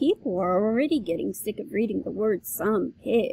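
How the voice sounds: Lively intonation in a natural reading voice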